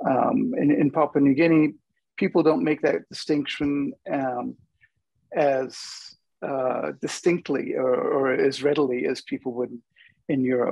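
In an American accent, a man speaks at a fairly slow pace. The sound is dry with no echo, and the background is quiet. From United States. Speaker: linguist, adjunct professor; guest. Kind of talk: panel discussion. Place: home room. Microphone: earbuds.

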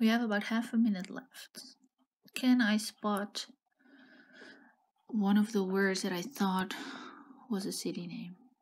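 A woman speaks at a fairly slow pace in a medium-pitched, somewhat breathy voice. Her pauses are long and frequent. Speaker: geography game streamer. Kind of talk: gameplay commentary, thinking aloud. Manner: musing, hesitant.

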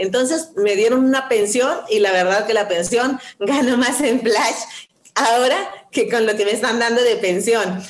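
Speaking at a fairly slow pace, a woman with a fairly high voice keeps her loudness very even, her pitch varying in an ordinary way while the room echo stays audible. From Sonora, Mexico. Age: 50s. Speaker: network marketing distributor. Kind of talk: testimony. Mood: warm, smiling, enthusiastic. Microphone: video call.

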